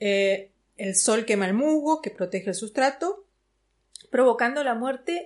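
Against a quiet background, a woman with a plain, everyday voice speaks at a fairly high pitch with lively intonation. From Buenos Aires, Argentina. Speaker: plant workshop teacher. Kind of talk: interview.

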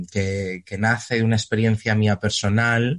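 In a dry, close recording with no echo and a quiet background, a man speaks at a medium pitch and a fairly slow pace with fairly even intonation. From Spain. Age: 20s. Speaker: actor. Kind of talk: interview. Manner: halting, frequent repetitions and fillers.

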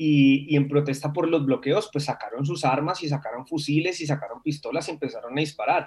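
A man with an ordinary speaking voice and a fairly high pitch talks with fairly even intonation. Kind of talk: interview.

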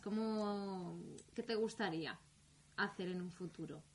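The voice is a woman's, somewhat breathy. Her medium pitch shows ordinary variation. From Spain, Alcoy (Alicante). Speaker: podcast host. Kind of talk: interview. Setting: studio.

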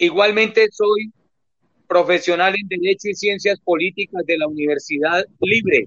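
At a fairly slow pace, a man speaks with a high pitch and fairly even intonation. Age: 60s. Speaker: physical education teacher and lawyer, club board candidate. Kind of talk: radio interview.

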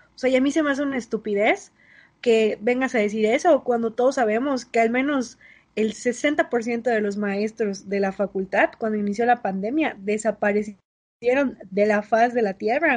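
A woman with an unremarkable speaking voice talks at a moderate pace, her fairly high pitch moving with ordinary variation over a quiet background. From Mérida, Yucatán, Mexico. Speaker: podcast co-host, university student. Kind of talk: casual chat.

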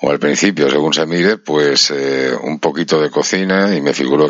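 Noticeable background noise runs under a man with a Madrid accent and a very deep, low pitch. He speaks at a moderate pace with fairly even intonation. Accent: Peninsular Spanish (Madrid). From Spain. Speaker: radio host. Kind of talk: interview.

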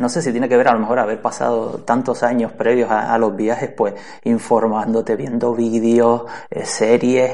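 A man speaks at a medium pitch in a flat monotone. Noticeable noise sits in the background. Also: moderate pace. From Canary Islands, Spain. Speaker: podcaster. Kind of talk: interview.

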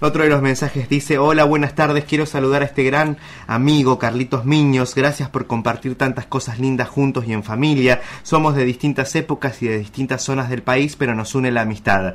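A man with a normal speaking voice talks fairly quickly at a medium pitch, his intonation fairly even. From Argentina, Chubut. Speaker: radio co-host. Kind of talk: radio news and message reading. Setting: radio studio.

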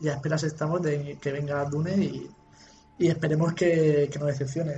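Fairly quick speech from a man with a fairly high pitch, against noticeable background noise. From Spain, Cartagena (Murcia). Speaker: podcast co-host. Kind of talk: casual chat.

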